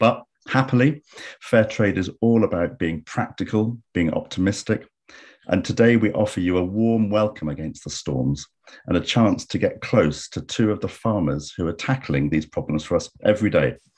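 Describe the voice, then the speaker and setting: Against a quiet background, a man with a fairly low pitch talks at a moderate pace with lively intonation. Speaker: webinar host. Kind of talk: webinar host introduction. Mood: warm, optimistic. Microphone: video call.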